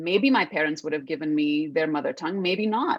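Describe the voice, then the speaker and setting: This woman has an Indian accent. Her intonation is lively. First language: Hindi. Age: 30s. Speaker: actress. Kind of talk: interview.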